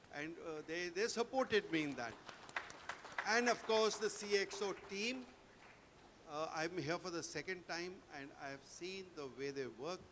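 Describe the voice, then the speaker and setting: Against crowd noise in the background, a man with a high pitch and lively intonation talks at a fairly slow pace, leaving long, frequent pauses. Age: 70s. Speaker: army veteran and corporate trainer. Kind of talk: award acceptance speech.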